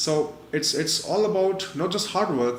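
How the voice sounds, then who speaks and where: The speaker has a non-native accent, and audible room echo can be heard. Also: man. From India. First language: not English. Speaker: online marketer and webinar presenter. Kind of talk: webinar presentation. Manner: frequent fillers, halting.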